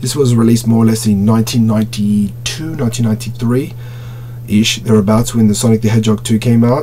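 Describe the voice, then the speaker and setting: Over noticeable background noise, a man talks in a monotone with flat intonation. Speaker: toy collector reviewer. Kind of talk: product review. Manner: stuttering at times; casual, filler-heavy.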